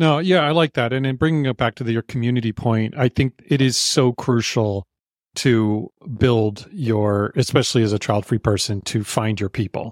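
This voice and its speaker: In a very clean recording with a silent background and a dry, close sound with no echo, a man speaks in a plain, everyday voice at medium pitch, with ordinary pitch variation and a moderate pace. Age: 50s. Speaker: podcast co-host. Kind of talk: casual chat.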